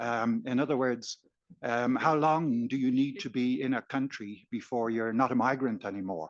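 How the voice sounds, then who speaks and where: This man speaks with an Irish accent at a moderate pace and medium pitch. The background is quiet. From Ireland. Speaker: audience member. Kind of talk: audience question. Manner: halting.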